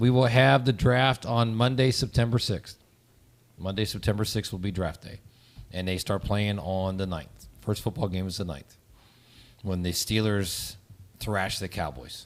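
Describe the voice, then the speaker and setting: Speaking in an ordinary speaking voice, a man with a fairly low pitch keeps a moderate pace and ordinary pitch variation. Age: 60s. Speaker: podcast co-host. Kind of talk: casual chat.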